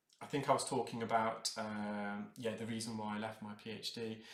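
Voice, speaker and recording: A man speaks with an English accent at a medium pitch. His tone is bright and sharp, with audible room echo around him. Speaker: earwax removal specialist. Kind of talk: live unscripted narration of procedure. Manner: hesitant, many fillers.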